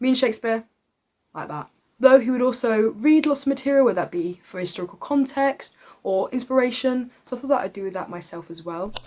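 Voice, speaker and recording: On a very clean recording with a silent background, a woman with a British accent speaks at a fairly quick pace in a high pitch and a dark, mellow tone, with lively intonation and big swings in loudness. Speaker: vlogger, acting student. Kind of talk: casual vlog. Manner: animated.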